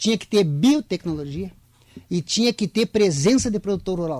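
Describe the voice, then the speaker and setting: A man's high, dark, mellow voice with very wide pitch swings at a moderate pace, on a very clean, dry, close recording with a silent background and no echo. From southern Brazil. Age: 60s. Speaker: farmers' club president. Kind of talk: radio interview.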